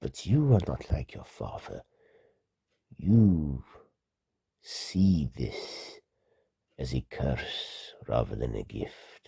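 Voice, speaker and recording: Using a put-on character voice, a man speaks very slowly in a very deep, low pitch, with long, frequent pauses. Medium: read story.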